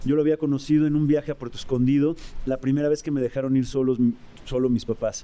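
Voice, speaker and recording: This man has a fairly high pitch and a dark, mellow tone, with a Mexican accent. He talks very fast in a monotone, flat way. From Mexico. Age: 40s. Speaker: rock musician. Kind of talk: casual chat.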